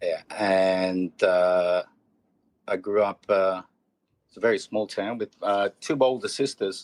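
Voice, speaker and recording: A man with an Australian accent and fairly low pitch, very slow and full of long, frequent pauses, his intonation fairly even but his loudness swinging widely, in a dry, close sound with no echo. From Australia, central Queensland. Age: 40s. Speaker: comedian and educator. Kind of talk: casual chat. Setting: podcast interview. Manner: halting.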